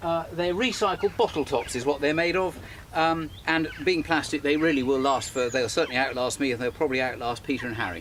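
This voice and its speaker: A man speaks at a fairly quick pace with an English accent. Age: 60s. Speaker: model engineer and children's author. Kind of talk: narrated tutorial. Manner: casual.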